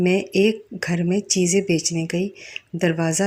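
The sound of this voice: A woman speaks at a fairly slow pace in a fairly low pitch, her tone slightly mellow and her intonation fairly even.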